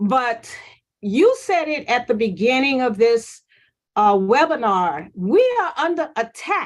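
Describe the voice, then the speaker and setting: A woman with an American accent speaks in a high pitch with very wide pitch swings. The background is quiet. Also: fairly slow pace. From US South (New Orleans). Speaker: nursing professor. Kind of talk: panel discussion. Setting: webinar.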